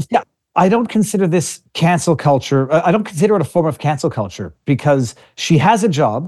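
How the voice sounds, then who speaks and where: A plain, everyday voice with lively intonation speaks at a moderate pace against a quiet background. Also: man. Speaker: lawyer and online show host. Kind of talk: casual interview chat. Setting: video call.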